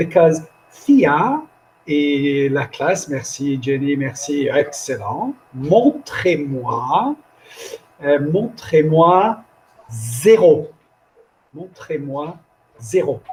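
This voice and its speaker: Speaking very slowly with long, frequent pauses, a man uses a fairly high pitch with ordinary pitch variation. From France. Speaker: language teacher trainer. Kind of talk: live online workshop. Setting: video call. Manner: animated.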